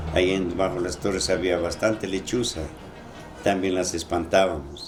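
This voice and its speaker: In a room with audible echo, a man with a very deep, low voice speaks at a moderate pace with fairly even intonation. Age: 70s. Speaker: former sacristan's assistant. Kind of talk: interview. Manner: halting.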